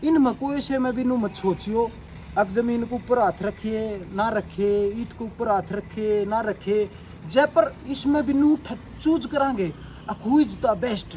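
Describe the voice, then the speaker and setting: A man with a Haryanvi accent speaks in a high voice with ordinary pitch variation, and there is noticeable background noise. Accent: Haryanvi-accented Hindi. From Haryana, India. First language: Haryanvi (speaking Hindi). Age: 30s. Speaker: fitness vlogger. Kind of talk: tutorial. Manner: casual, repetitive.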